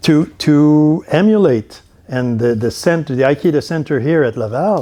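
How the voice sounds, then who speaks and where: Lively intonation marks this man's speech, in a Quebec accent at medium pitch. His tone is dark and mellow, and his pace is fairly slow. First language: French. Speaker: university dean, professor. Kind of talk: conference talk. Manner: halting, many repetitions.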